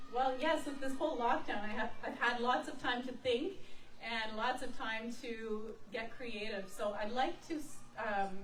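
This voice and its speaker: Moderately paced speech from a woman with a high pitch, plus noticeable background noise and audible room echo. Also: ordinary pitch variation. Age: young. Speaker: opera singer. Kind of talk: interview. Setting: outdoor stage with lawn chair audience.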